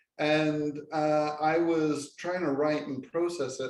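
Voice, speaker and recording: Room echo is audible as a man with an English accent speaks at a fairly high pitch. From England. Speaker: professor. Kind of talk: casual chat. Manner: halting.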